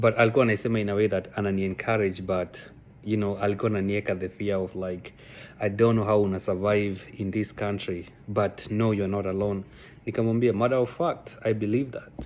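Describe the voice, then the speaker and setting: A man talks at a very fast pace with a Kenyan accent. His pitch is fairly low and his intonation fairly even. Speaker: vlogger. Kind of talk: casual personal storytelling vlog. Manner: code-switching Sheng and English, halting with fillers.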